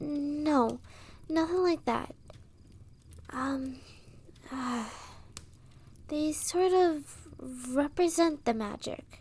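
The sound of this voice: Putting on a character voice, a woman speaks very slowly in a high, slightly mellow tone with ordinary pitch variation and long, frequent pauses.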